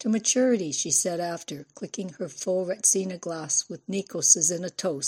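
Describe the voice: In plain reading aloud, the pitch shifts by ordinary amounts.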